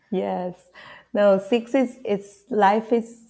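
Dark and mellow in tone, a woman speaks with a Spanish accent. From Peru, Lima. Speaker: marketer and numerology guide. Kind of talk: casual interview chat.

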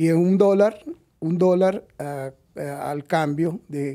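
A man's fairly high, dark and mellow voice at a very slow pace, with ordinary pitch variation. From Venezuela. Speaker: retired lawyer. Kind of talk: interview.

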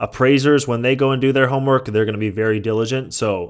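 With a Californian accent, a man speaks at a fairly quick pace on a very clean recording with a silent background. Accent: General American (Californian). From US West Coast, San Francisco Bay Area. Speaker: real estate investor and podcast host. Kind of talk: Q&A answering listener questions. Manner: casual, with frequent fillers.

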